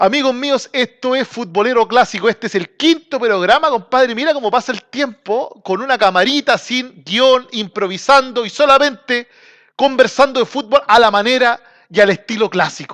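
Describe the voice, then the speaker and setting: Man with an extremely high pitch and a bright, sharp tone in a Chilean accent, ordinary pitch variation, moderate pace, a dry, close sound with no echo and a quiet background. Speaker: football commentator, channel host. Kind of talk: casual monologue. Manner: informal, slangy.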